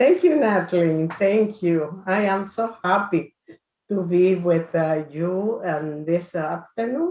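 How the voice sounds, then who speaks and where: A woman with a Spanish accent at medium pitch and a very slow pace. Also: ordinary pitch variation. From Dominican Republic. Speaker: church health ministries director. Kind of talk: presentation.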